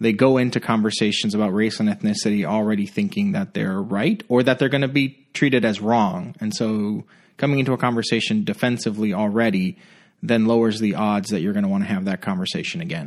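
Speaking at a fairly quick pace in a Puerto Rican accent, this voice shows ordinary pitch variation against a quiet background. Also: man. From Puerto Rico. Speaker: pastor. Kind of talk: podcast interview. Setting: makeshift studio.

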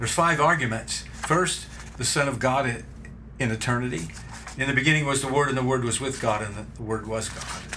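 Over noticeable background noise, a man talks at a fairly quick pace in a medium pitch. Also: ordinary pitch variation. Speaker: co-host. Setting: studio.

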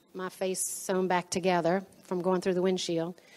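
A woman talks at a fairly quick pace with a New Orleans accent. Her intonation stays monotone and flat. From New Orleans, Louisiana. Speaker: pastor's wife. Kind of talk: testimony.

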